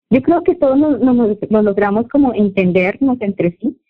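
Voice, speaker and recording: A woman with a Santander Colombian accent, at a moderate pace with ordinary pitch variation. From Colombia, Santander (Bucaramanga). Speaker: Spanish teacher and fashion designer. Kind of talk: casual interview.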